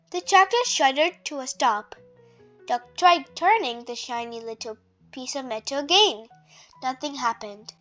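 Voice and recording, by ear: A fairly bright tone at a fairly slow pace, ordinary pitch variation, faint music in the background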